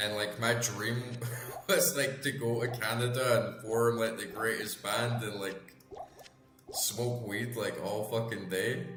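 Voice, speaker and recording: Music plays in the background while a man talks. His medium-pitched voice carries an audible room echo. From Scotland, Edinburgh. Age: 30s. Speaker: gaming streamer. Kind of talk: casual chat while live-streaming a game. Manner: animated.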